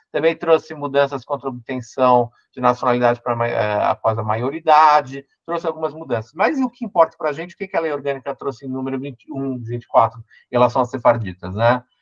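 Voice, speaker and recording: The sound is dry and close, with no echo. A man speaks at a medium pitch and a fairly quick pace, with hardly any pauses. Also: ordinary pitch variation. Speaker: lawyer and law professor. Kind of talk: online lecture. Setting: online event. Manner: fast.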